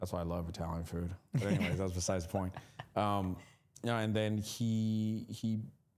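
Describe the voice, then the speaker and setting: A man with a fairly low voice speaks in a fairly even tone while music plays in the background. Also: moderate pace. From California, born in Mexico. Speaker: assisted living business owner. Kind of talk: casual interview.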